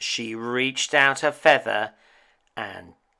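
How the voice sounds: Against a quiet background comes a natural reading voice with fairly even intonation.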